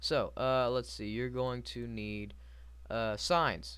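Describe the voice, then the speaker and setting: A man speaks fairly slowly, and the room's echo can be heard around him. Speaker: gaming youtuber. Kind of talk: tutorial. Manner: halting, stuttering.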